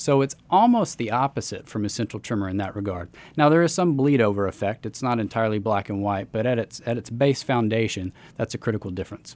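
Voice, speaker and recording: Very fast speech comes from a man with a medium pitch and ordinary pitch variation. The recording is very clean, with a silent background. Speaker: neurologist. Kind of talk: interview. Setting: studio.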